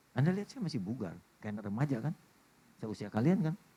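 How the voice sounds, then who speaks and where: A man's somewhat breathy, dark and mellow voice at a very fast pace, with very wide pitch swings. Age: 60s. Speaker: pastor. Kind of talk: sermon. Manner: animated.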